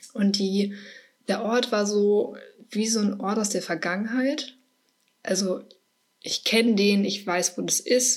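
The delivery is very slow, broken by long, frequent pauses, and the intonation stays fairly even. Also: woman, medium pitch for a woman. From Ruhr area, Germany (Herne). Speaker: podcast host. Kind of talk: personal monologue. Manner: casual, with frequent fillers.

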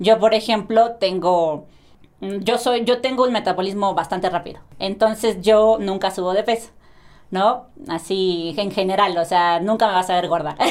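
A woman's unremarkable speaking voice, medium in pitch, with ordinary pitch variation and a fairly slow pace. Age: 20s. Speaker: athlete. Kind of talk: casual chat.

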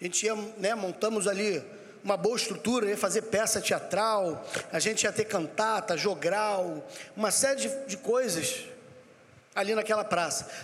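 Over noticeable background noise and audible room echo, a man speaks at a moderate pace with long, frequent pauses. His pitch is high, with ordinary variation. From Rio de Janeiro, Brazil. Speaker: pastor. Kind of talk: sermon.

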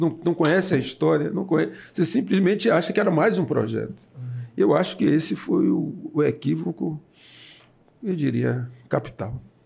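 At a fairly high pitch for a man, this speaker's dark, mellow voice carries vocal fry and lively intonation, holding very even loudness at a moderate pace with long, frequent pauses. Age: 60s. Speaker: city councillor. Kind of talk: casual interview. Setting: studio, broadcast live on radio and video.

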